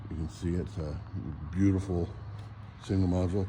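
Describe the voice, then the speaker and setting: There is audible room echo around a man whose voice is somewhat breathy, with a dark, mellow tone. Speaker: model railroad hobbyist. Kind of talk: casual walk-around video tour. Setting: hotel convention hall.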